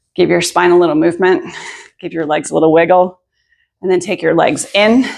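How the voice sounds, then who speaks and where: On a very clean recording with a silent background, a woman with a fairly low pitch and vocal fry speaks at a moderate pace with ordinary pitch variation. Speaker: yoga teacher. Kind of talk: guided yoga class. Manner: calm, soothing; soft-spoken.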